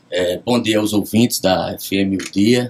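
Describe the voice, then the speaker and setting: Fairly low in pitch, a man speaks with fairly even intonation against noticeable background noise. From Rio Grande do Norte, Brazil. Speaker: judge. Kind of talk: radio interview. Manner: formal.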